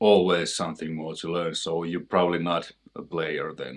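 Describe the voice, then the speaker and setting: Against a quiet background, a man in a Finnish accent talks at a moderate pace, his very deep, low pitch held in a monotone, flat intonation. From Finland. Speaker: guitarist and music teacher. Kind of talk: tutorial. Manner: casual, halting.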